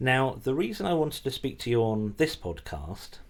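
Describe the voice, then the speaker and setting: Heard on a very clean recording against a silent background, a man's plain, everyday voice moves at a moderate speed with lively intonation. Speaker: podcast host. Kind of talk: podcast intro to listeners.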